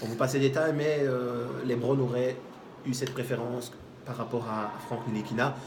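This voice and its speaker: A man with a Charleroi accent at a medium pitch, monotone and flat in intonation, at a moderate pace, with audible room echo and noticeable background noise. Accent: Charleroi Belgian. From Belgium, Charleroi. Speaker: basketball show host. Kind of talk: casual sports debate. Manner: hesitant, many fillers.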